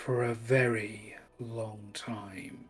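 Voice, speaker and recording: Over faint background music, a man at medium pitch performs a put-on character voice. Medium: actual play. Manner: smooth, measured, persuasive.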